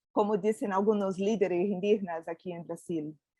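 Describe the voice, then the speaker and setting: In a dry, close recording with no echo and a quiet background, a woman speaks at a fairly slow pace and medium pitch, her dark, mellow tone carrying ordinary pitch variation. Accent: Portuguese. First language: Portuguese (speaking Spanish). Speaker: panel expert on biodiversity education. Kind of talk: panel discussion presentation. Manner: hesitant, many fillers.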